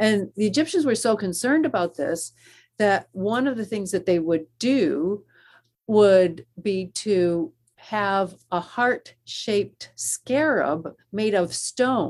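Speaking very slowly with an American accent, a woman uses a medium pitch and lively intonation in a very clean recording with a silent background. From US Northeast (Western New York). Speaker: seminary professor of Old Testament. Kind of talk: interview.

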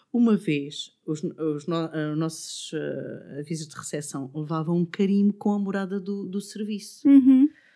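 A woman with a European Portuguese accent, a dark, mellow tone and medium pitch, at a fairly slow pace with lively intonation. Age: 50s. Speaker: podcast fan and office worker. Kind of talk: casual chat. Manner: halting.

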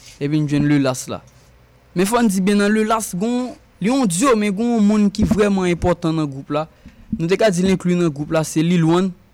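Talking at a fairly slow pace, a man with a high pitch shows ordinary pitch variation. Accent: Haitian. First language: Haitian Creole (speaking French). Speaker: musician. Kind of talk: casual chat.

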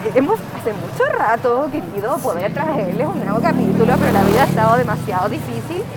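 Someone with a Chilean accent talks at a fairly quick pace with hardly any pauses. Crowd noise can be heard in the background. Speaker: podcast co-host. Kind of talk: casual chat. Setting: outdoors.

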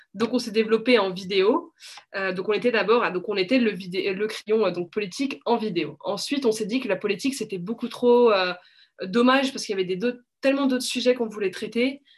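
A plain, everyday voice from a woman, fairly high in pitch, at a fairly quick pace with ordinary pitch variation. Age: 20s. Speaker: media co-founder. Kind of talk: interview.

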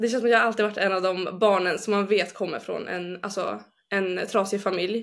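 Her intonation stays monotone and flat. This woman's pitch is medium. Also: moderate pace. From northern Sweden, Umeå. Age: 20s. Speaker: bible school student. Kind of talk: personal testimony. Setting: video call. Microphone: poorer sound over video link.

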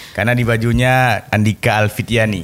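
Speech in an Aceh accent at a moderate pace. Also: man. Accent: Acehnese. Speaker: podcast host. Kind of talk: casual interview. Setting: studio.

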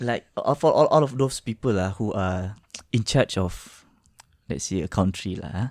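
A man with a Malaysian accent at medium pitch, moderate pace and lively intonation, in a dry, close sound with no echo. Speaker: podcast co-host. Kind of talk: casual chat. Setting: studio.

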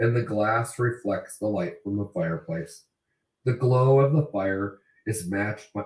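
Ordinary pitch variation in an unforced reading voice, set against a quiet background.

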